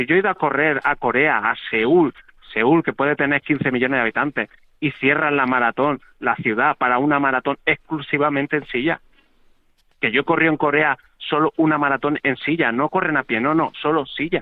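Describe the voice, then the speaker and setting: A man talks in an ordinary speaking voice, pitched fairly high, at a moderate pace. His intonation is fairly even and his loudness very even. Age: 40s. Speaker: wheelchair marathon athlete. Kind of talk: interview. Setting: phone call.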